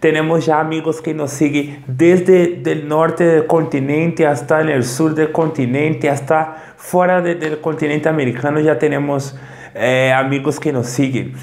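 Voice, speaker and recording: The voice holds a monotone, flat intonation at a moderate pace against noticeable background noise. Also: man, fairly high pitch for a man. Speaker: Portuguese teacher. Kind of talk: casual talk to camera.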